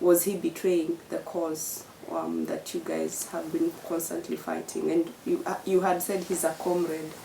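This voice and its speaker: Over noticeable background noise, a woman talks at a fairly slow pace with hardly any pauses. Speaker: journalist / interviewer. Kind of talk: interview question.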